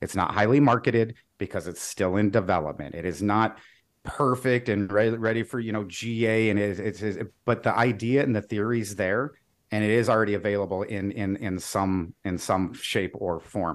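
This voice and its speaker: The recording is very clean with a silent background. A man talks at a moderate pace in a normal speaking voice, fairly low in pitch with ordinary variation. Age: 40s. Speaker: sales engineer. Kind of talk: interview.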